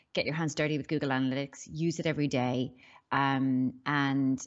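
Woman with a very deep, low pitch at a moderate pace. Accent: Irish. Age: 40s. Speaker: business strategist and startup mentor. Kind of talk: interview. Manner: hesitant, many fillers.

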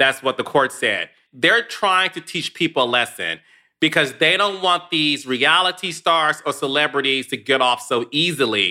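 Recorded very cleanly against a silent background, a man speaks at a moderate pace. His tone is bright, sharp and animated, with ordinary pitch variation. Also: fairly high pitch for a man. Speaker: podcast host and reality TV producer. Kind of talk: casual chat.

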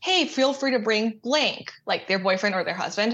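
A plain, everyday voice with an American accent uses lively intonation against a quiet background. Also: woman. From Texas, Austin. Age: 20s. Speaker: caller seeking friendship advice. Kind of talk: casual chat.

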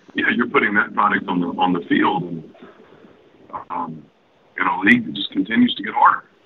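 A man talks at a moderate pace in a put-on character voice. His voice is hoarse.

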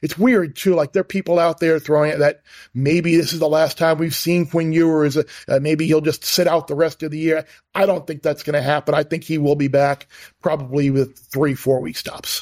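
A man's plain, everyday voice with fairly even intonation, in a very clean recording with a silent background and a dry, close sound with no echo. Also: fairly high pitch for a man, fairly quick pace. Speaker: sports betting analyst. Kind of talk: casual sports talk and betting picks.

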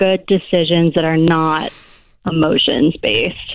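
Speaking at a moderate pace, a woman has a plain, everyday voice with a fairly low pitch. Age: 30s. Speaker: caller. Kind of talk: casual chat. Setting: phone call.

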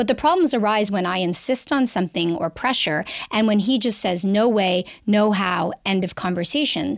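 A woman with an unremarkable speaking voice talks in a Canadian accent at a medium pitch and moderate pace. Her intonation is lively, and the recording is very clean with a silent background. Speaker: sexologist and author. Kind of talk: casual interview, advice.

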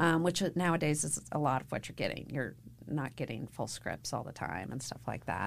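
A woman speaks with vocal fry. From Kentucky, Louisville. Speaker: casting director. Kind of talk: interview.

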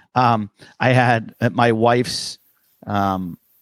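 This is a man speaking. His voice is fairly low in pitch. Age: 50s. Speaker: stand-up comedian. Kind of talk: casual chat. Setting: video call.

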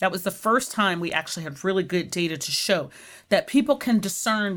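A woman's fairly low voice, a normal speaking voice at a fairly quick pace with ordinary pitch variation. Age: 50s. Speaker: nurse scientist. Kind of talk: interview.

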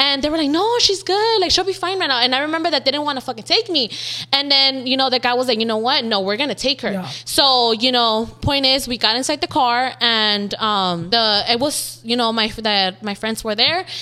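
A woman's raised, projected voice, high-pitched, bright and sharp, with lively intonation at a fairly quick pace. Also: hardly any pauses. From South Central Los Angeles. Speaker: social media makeup artist. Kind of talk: casual interview chat.

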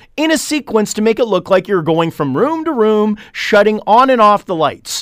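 Loud and high-pitched for a man, this Canadian-accented male voice moves at a moderate pace with very wide pitch swings. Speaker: marketing company CEO, tech commentator. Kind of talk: radio tech segment, casual chat. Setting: radio studio.

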